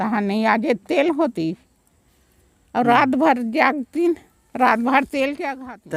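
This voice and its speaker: Speaking high with big swings in loudness, a woman leaves long, frequent pauses. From Chhattisgarh. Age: old. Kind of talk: interview answer.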